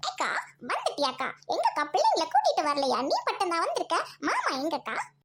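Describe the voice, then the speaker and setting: Putting on a character voice, a woman sounds squeaky, with an extremely high pitch and very wide pitch swings. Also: moderate pace. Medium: voice reel. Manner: emotional, pleading.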